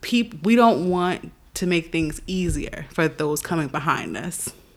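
A woman with a normal speaking voice and an American accent speaks at a fairly low pitch with ordinary pitch variation, on a very clean recording with a silent background. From New York. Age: 20s. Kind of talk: casual chat.

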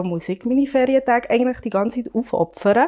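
A woman's unremarkable speaking voice, lively intonation, fairly quick pace. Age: 30s. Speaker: working mother. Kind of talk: casual discussion.

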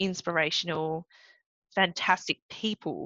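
The speaker has an Australian accent. Vocal fry runs through the voice. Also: woman. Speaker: Olympic swimmer and lawyer. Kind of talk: interview.

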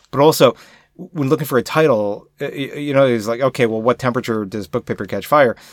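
In a very clean recording with a silent background and dry, close sound with no echo, a man speaks fairly quickly at a medium pitch with ordinary pitch variation. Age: adult. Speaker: podcast co-host. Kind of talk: casual chat. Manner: loud; halting.

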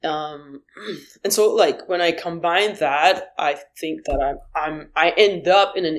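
A woman with a Haitian accent speaks in a fairly low pitch. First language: Haitian Creole. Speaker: musician. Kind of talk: interview. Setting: video call. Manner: halting.

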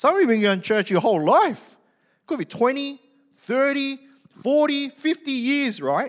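Speaking in an Australian accent with lively intonation, the voice keeps a moderate pace broken by long, frequent pauses. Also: man, extremely high pitch for a man. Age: 40s. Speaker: pastor. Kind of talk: sermon. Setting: church. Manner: animated.

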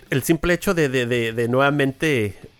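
The speaker's intonation is lively, with music playing in the background. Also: man. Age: 40s. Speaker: podcast host. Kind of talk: casual interview.

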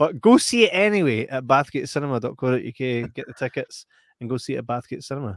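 A man with a West Lothian accent at a medium pitch and a very fast pace, lively intonation and big swings in loudness, in a dry, close sound with no echo. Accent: Scottish (West Lothian). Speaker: film podcast host. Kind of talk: casual chat.

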